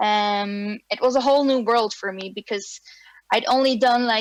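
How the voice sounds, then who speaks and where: In a Flemish accent, a woman speaks at a very slow pace with a fairly high pitch and fairly even intonation, the sound dry and close with no echo. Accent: Belgian (Flemish) English. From Belgium. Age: 30s. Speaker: animator and film director. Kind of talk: online presentation. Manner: hesitant, many fillers.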